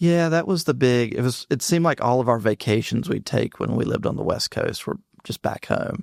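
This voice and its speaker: In a dry, close recording with no echo, a man with a Southern US accent speaks at a medium pitch and a fairly quick pace, his intonation lively. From North Carolina (Mebane). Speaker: tech startup CEO. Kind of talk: casual interview.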